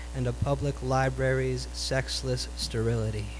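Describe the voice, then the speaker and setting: A man's very deep, low voice, flat and monotone, with music in the background. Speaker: poet. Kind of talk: beat poetry reading. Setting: live venue.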